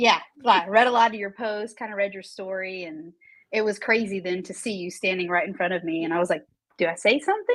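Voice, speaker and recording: At a fairly quick pace, a woman with an unremarkable speaking voice talks at medium pitch with ordinary pitch variation and big swings in loudness. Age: 30s. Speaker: assistant principal and cancer patient. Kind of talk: casual interview chat.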